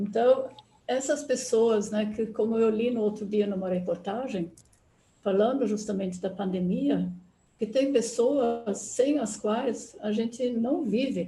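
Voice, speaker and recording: The voice is somewhat breathy, with a dark, mellow tone and ordinary pitch variation. It moves at a very slow pace. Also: woman, fairly high pitch for a woman. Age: 80s+. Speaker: anthroposophy speaker. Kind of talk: online talk.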